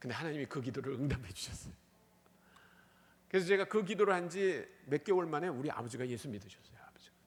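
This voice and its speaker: A man talks at a very fast pace yet leaves long, frequent pauses. His fairly high voice swings very widely in pitch and shifts greatly in loudness. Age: 60s. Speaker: missionary. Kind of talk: sermon. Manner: animated.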